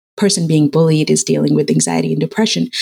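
A woman's voice with vocal fry comes across dry and close, with no echo. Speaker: founder of girls' game design camps. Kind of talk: interview. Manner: conversational with fillers.

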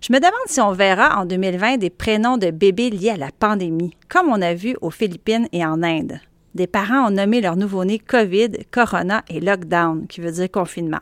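In a Quebec accent, the voice moves at a moderate pace with ordinary pitch variation on a very clean recording with a silent background. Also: woman, medium pitch for a woman. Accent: Québécois French. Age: 40s. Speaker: journalist and podcast host. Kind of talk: solo audio column, conversational monologue. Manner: casual, chatty.

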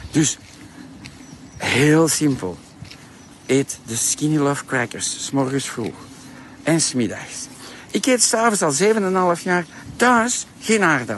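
A man with an Antwerp accent and a fairly high pitch, very slow with long, frequent pauses and very wide pitch swings, over noticeable background noise. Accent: Flemish (Antwerp) Dutch. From Flanders, Antwerp. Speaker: diet product entrepreneur and vlogger. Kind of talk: promotional monologue. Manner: animated.

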